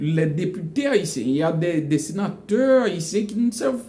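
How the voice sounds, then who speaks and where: The man's pitch is high and swings very widely. He speaks at a fairly slow pace. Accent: Haitian. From Haiti. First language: Haitian Creole (speaking French). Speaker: educational vlogger. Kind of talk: casual monologue. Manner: halting, many repetitions; animated.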